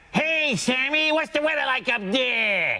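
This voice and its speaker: A man's put-on character voice, extremely high pitched, raised and projected, at a fairly slow pace. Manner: camp, exaggerated.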